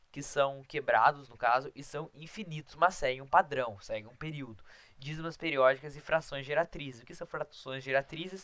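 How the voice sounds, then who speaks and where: A man speaks at a fairly high pitch with a bright, sharp tone. His pitch varies in an ordinary way while his loudness swings widely. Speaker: math teacher. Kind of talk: lecture. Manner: fast.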